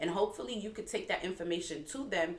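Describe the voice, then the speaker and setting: A woman's very fast speech with a slight Haitian accent and very wide pitch swings, over noticeable background noise. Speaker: nurse turned entrepreneur, co-host. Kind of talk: casual chat.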